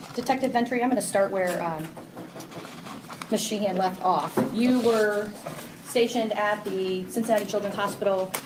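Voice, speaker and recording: With audible room echo and noticeable background noise, a woman speaks at a moderate pace in fairly even intonation, leaving long, frequent pauses. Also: medium pitch for a woman. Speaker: defense attorney. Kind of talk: cross-examination in court. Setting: courtroom. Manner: loud.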